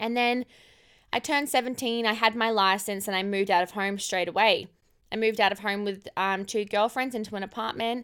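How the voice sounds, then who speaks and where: A woman speaks with an Australian accent. Her tone is animated and her pace fairly quick. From far north Queensland, Australia. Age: 20s. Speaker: podcast host, emergency nurse. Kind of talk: casual personal monologue.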